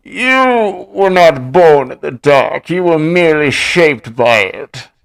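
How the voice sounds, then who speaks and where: In a put-on character voice, a man speaks high-pitched and fairly slowly. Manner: muffled, as if speaking through a covered mouth.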